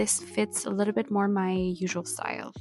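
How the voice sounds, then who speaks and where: A woman's moderately paced speech is accompanied by music in the background. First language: French. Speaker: lettering and journaling YouTuber. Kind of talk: tutorial.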